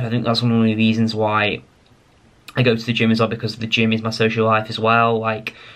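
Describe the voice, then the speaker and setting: A man with an English accent speaks at a very fast pace and medium pitch. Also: monotone, flat intonation. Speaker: pharmacist vlogger. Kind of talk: casual vlog talk to camera. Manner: rambling, hesitant with fillers.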